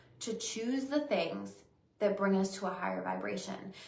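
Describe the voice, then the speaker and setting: Heard with audible room echo, a woman talks at a medium pitch. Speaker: psychic medium and intuitive life coach. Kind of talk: weekly spiritual reading monologue. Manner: slower, unhurried pace today; halting, with hesitations.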